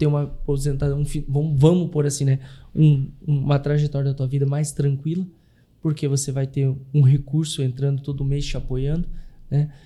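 A man with a fairly high pitch speaks in a dark, mellow, somewhat breathy tone, at a moderate pace and with monotone, flat intonation. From Brazil, Curitiba. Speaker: consórcio investment specialist. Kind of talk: interview.

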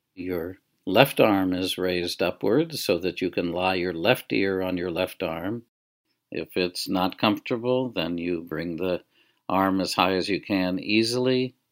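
In a very clean recording with a silent background, a man speaks at a fairly slow pace. His tone is gentle and soothing, and his pitch very deep and low. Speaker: guided relaxation teacher. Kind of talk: guided meditation. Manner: slow, gentle, soothing, unhurried with long pauses; soft-spoken, calm, instructional.

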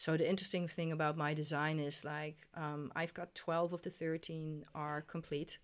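A woman talks at a very deep, low pitch and a moderate pace. Her intonation is monotone and flat. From Netherlands. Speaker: sacred geometry artist. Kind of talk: interview. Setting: studio.

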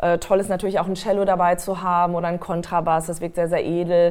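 A woman speaks very fast in a fairly low, monotone voice with flat intonation. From Westphalia, Germany. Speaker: singer-songwriter and voice trainer. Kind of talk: casual interview.

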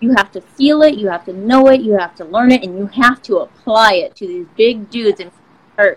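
A woman with an ordinary speaking voice talks at a fairly quick pace, her fairly high pitch showing ordinary variation. Her loudness swings widely. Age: 40s. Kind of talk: interview.

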